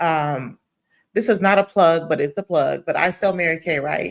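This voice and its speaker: A woman's very deep, low pitch with ordinary pitch variation and an animated tone, on a very clean recording with a silent background. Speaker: radio host and farmer. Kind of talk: radio talk show. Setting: radio studio. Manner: fast.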